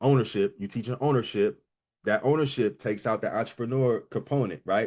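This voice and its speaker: Quick-paced and lively in intonation, a man speaks with a medium pitch. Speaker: business coach. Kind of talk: live online coaching session. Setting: livestream with chat. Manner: fast; casual, rough around the edges.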